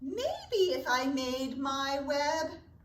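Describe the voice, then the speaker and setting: In a put-on character voice, a woman speaks at a high pitch. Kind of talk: bedtime story. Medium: read story.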